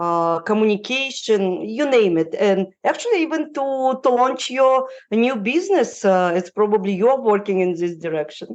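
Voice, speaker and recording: With a non-native accent, a woman talks at a moderate pace with hardly any pauses, her fairly high pitch making very wide swings. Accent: foreign, non-native English. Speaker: relocation consultant. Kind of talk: podcast interview answer. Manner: hesitant, many fillers.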